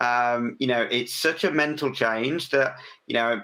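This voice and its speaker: This man speaks at a moderate pace with an English accent, a bright, sharp tone, a medium pitch, and ordinary pitch variation. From England. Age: 40s. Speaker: business owner, podcast guest. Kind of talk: interview. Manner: hesitant, many fillers.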